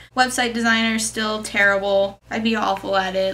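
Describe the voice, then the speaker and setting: With noticeable background noise behind her, a woman speaks at a medium pitch and a fairly quick pace. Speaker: vlogger. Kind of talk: casual vlog.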